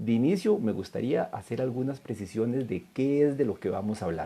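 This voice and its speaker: With a Costa Rican accent, a man speaks in a dark, mellow tone with lively intonation. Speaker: law lecturer. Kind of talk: lecture. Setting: online live stream.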